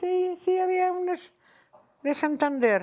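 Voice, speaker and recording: A woman with a Madrid accent speaks very slowly against a quiet background. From Madrid (Chamberí), born in Cantabria; Madrid, Spain. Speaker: retired teacher telling her life story. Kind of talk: oral history interview. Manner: halting, with frequent repetitions. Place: home room. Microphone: lapel.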